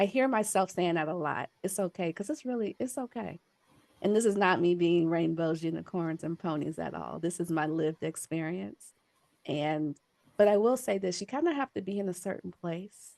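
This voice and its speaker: A woman with a normal speaking voice, fairly low pitch and lively intonation at a moderate pace, in a dry, close sound with no echo. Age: 40s. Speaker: adoptee presenter. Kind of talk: conference presentation.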